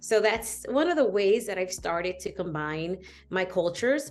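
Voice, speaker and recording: A plain, everyday voice with an American accent, ordinary pitch variation and a fairly quick pace against a quiet background. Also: woman. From New York, Dominican family. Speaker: business coach and entrepreneur. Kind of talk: interview.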